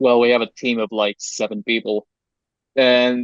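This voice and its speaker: Speaking fairly slowly, someone talks with a non-native accent. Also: man. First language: not English. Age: young (18). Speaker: game developer. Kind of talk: interview. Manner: halting.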